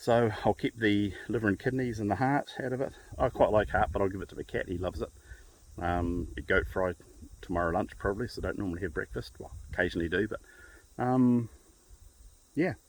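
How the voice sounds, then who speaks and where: Fairly quick, lively speech from a man with a New Zealand accent and a fairly low pitch, broken by long, frequent pauses. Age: 50s. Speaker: hunter. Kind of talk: casual talk to camera. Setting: outdoors.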